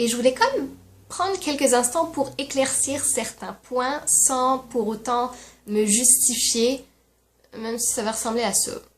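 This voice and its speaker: A woman's high-pitched voice with ordinary pitch variation at a very slow pace. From France. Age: 20s. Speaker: YouTuber. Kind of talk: casual talk to camera.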